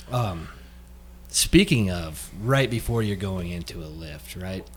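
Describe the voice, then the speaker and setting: A man with a very deep, low pitch speaks somewhat breathily, with lively intonation and big swings in loudness. His pace is very slow, with long, frequent pauses. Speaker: fitness podcast co-host. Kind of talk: casual chat. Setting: studio with headphones and mics.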